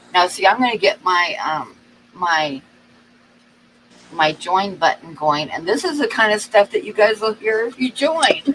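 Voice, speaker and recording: A woman speaks at a fairly high pitch with very wide pitch swings, at a fairly slow pace. Long, frequent pauses break her speech over noticeable background noise. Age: 60s. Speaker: livestream co-host. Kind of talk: casual chat. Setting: live stream.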